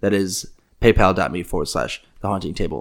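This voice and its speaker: A man with a plain, everyday voice and ordinary pitch variation. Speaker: podcast host. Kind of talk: casual chat.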